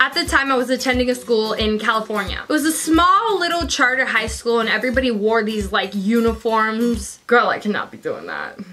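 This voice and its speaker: An animated tone with ordinary pitch variation over music in the background. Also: woman, fairly high pitch for a woman, fairly quick pace. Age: young. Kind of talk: casual story time talk to camera. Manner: animated, chatty.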